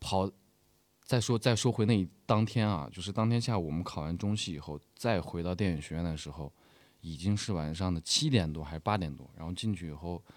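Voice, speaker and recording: A man with a very deep, low voice talks at a fairly quick pace, with ordinary pitch variation. The recording is very clean, with a silent background. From northwest China. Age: 20s. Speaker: stage actor. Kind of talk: interview.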